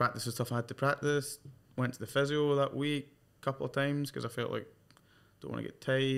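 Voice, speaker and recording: A man speaks at a very fast pace in a flat monotone, broken by long, frequent pauses. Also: medium pitch for a man. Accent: Glaswegian. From Scotland, Glasgow. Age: 20s. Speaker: professional golfer. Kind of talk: casual chat.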